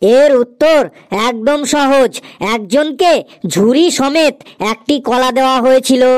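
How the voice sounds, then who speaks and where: In a high, cartoonish character voice, the speaker goes at a moderate pace. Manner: confident, matter-of-fact.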